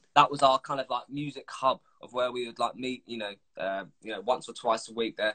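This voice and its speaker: A man with a southern English accent, medium in pitch and bright and sharp in tone, talking at a fairly quick pace with fairly even intonation and big swings in loudness. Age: 20s. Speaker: musician. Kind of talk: casual chat. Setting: video call.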